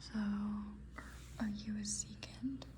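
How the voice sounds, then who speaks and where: The speech is soft-spoken and comes at a very slow pace. Noticeable background noise sits behind it. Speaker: student. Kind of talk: ASMR study-with-me talk.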